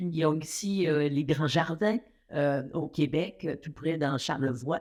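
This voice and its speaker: At a fairly slow pace, a woman speaks in a very deep, low pitch. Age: 70s. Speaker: athlete and fitness figure. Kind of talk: interview. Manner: hesitant with many fillers.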